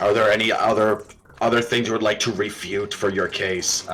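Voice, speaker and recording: In a raspy, put-on character voice, the speaker delivers a stern tone with monotone, flat intonation at a moderate pace. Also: man, fairly low pitch for a man. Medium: actual play. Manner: formal, stern.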